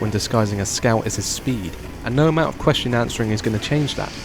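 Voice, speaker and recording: A man whispers while noticeable noise fills the background. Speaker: gaming YouTuber. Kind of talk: scripted commentary. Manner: comedic, playful; whispering at the start.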